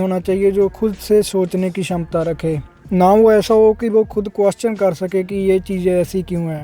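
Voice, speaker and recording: Music plays behind a man with a Punjabi accent. His pitch is high, and his intonation is monotone and flat. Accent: Punjabi-accented Hindi. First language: Punjabi (speaking Hindi). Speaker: YouTube commentator. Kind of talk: opinion commentary. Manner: sarcastic.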